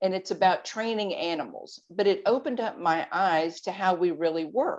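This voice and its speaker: A woman with a plain, everyday voice at medium pitch, moderate pace and ordinary pitch variation. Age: 60s. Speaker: guest on health podcast, weight loss advocate. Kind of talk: podcast interview.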